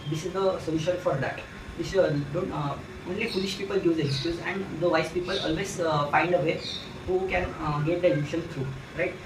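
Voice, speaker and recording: A man talks at a fairly quick pace in a high pitch, his intonation fairly even, with noticeable background noise and audible room echo. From India. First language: Hindi. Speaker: student and book reviewer. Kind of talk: book review monologue. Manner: halting, many fillers.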